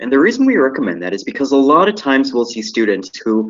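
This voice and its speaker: Here a man talks at a very fast pace. He has an American accent. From Michigan, US. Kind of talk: lecture. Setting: live webinar.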